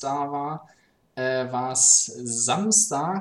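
This is a man's voice. His pitch sits fairly high. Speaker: podcast co-host. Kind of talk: casual chat.

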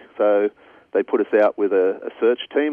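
A man speaks with an Australian accent. His pace is moderate. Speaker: cadaver dog handler. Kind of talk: interview.

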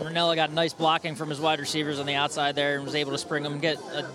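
Music plays behind a man who talks very fast at a fairly high pitch with monotone, flat intonation. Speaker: color commentator. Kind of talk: live sports commentary analysis. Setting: radio broadcast from stadium.

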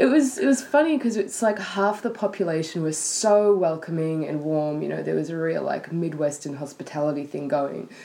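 A woman with an Australian accent speaks at a fairly quick pace in a fairly low pitch, with lively intonation, hardly any pauses and noticeable background noise. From Sydney, Australia. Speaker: guest. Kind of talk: casual chat.

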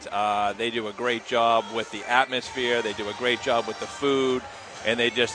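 A medium-pitched male voice in a monotone, flat delivery, with noticeable background noise. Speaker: tournament director. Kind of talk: on-air interview.

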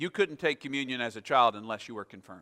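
A bright, sharp, medium-pitched male voice with lively intonation, dry and close with no echo, on a very clean recording with a silent background. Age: 50s. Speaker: pastor. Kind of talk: sermon. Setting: church. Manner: halting.

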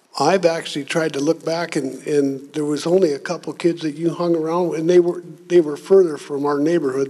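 Speaking with an American accent, a man uses a fairly high pitch, fairly even intonation and a moderate pace over noticeable background noise. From US Midwest (Minnesota, rural farm). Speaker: retired drywall worker and grandfather. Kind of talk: casual chat.

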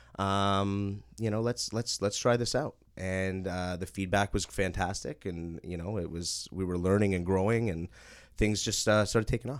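In a very clean recording with a silent background, a man speaks in an ordinary speaking voice with a Canadian accent. His pitch is fairly low, with ordinary pitch variation, and his pace is moderate. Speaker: property management company owner. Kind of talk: casual interview.

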